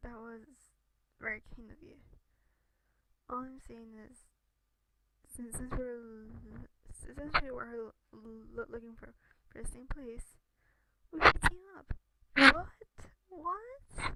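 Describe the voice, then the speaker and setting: A soft-spoken woman with a bright, sharp tone takes long, frequent pauses. Her loudness swings widely while her pitch varies in an ordinary way. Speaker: gamer reading a game aloud. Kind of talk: reading game dialogue aloud. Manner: quiet, soft.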